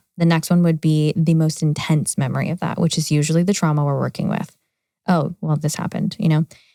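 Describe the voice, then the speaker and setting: This woman has an American accent and a very deep, low pitch, with a dark, mellow tone. She talks at a very fast pace in a monotone, flat intonation, and the sound is dry and close with no echo. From California. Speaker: trauma therapist. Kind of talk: interview.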